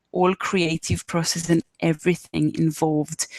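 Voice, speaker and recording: A woman with a strong Israeli accent talks at a moderate pace, the sound dry and close with no echo. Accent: Israeli accent, self-described as strong. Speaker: arts fundraising trainer. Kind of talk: online workshop presentation. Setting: live video webinar. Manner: hesitant, many fillers.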